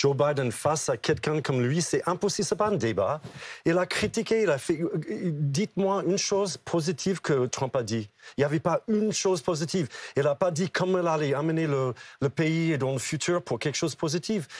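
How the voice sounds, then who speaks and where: At a moderate pace and a fairly high pitch, a man speaks with very even loudness and ordinary pitch variation, the sound dry and close with no echo. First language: English (speaking French). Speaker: political commentator. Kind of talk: TV panel debate. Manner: animated.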